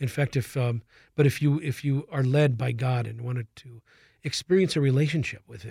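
A man with an American accent, medium-pitched and somewhat breathy, dark and mellow in tone, at a moderate pace with fairly even intonation, on a very clean recording with a silent background. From Minnesota. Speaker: nonprofit public relations representative. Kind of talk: interview. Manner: halting.

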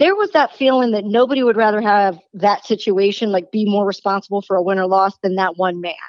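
Delivered in an unremarkable speaking voice, the speech moves at a fairly quick pace with hardly any pauses and ordinary pitch variation. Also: woman, medium pitch for a woman. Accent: American. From Baltimore, Maryland, US. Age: 40s. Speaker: sports radio host and former baseball reporter. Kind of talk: sports talk radio interview.

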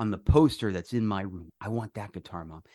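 Fairly low-pitched male voice with a dry, close sound and no echo. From New York, raised in South Florida. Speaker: musician. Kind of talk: casual interview. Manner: animated, filler-heavy.

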